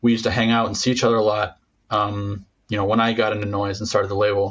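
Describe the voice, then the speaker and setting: Somewhat breathy and fairly low in pitch, a man speaks at a very fast pace. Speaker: podcast host. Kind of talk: interview. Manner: stammering.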